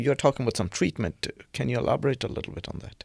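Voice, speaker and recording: A man talks with vocal fry and lively intonation. The sound is dry and close, with no echo. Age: middle-aged. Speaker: podcast host. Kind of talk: interview. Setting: studio.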